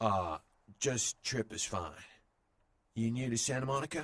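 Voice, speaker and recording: In a put-on character voice, a man sounds raspy, pitched in the medium range, and keeps a moderate pace. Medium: video game. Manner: hesitant, stammering.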